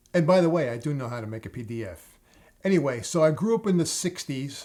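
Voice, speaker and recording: A man with a New York accent at a moderate pace, with ordinary pitch variation. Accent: New York area American. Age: 60s. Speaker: plumber, tutorial channel host.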